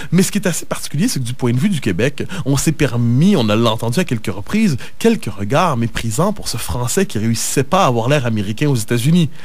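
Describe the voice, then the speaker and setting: At a fairly quick pace, a man with a medium pitch makes very wide pitch swings amid noticeable background noise and audible room echo. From Quebec, north shore of Montreal. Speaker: political commentator. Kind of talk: radio interview.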